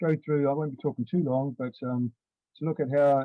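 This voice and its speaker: Fairly even in intonation, a man speaks very fast with a New Zealand accent. His pitch sits at a medium level. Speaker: primary school teacher. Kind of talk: online conference presentation.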